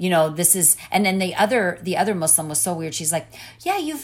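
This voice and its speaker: In a normal speaking voice, a woman talks at a fairly quick pace. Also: very clean recording, silent background. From Orange County, California. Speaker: missionary and preacher. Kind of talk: testimony.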